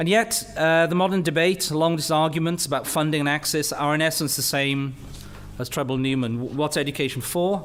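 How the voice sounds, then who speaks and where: With audible room echo and noticeable background noise around him, the man speaks fairly quickly, his pitch varying in an ordinary way. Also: fairly high pitch for a man. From Wales, Rhondda Valley. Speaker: university leader and physicist. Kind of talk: lecture.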